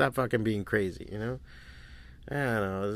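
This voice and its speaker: In a very clean recording with a silent background, a man's speech moves at a fairly quick pace. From Miami, Florida. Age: 40s. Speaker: podcast host and comic artist. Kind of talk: casual solo monologue.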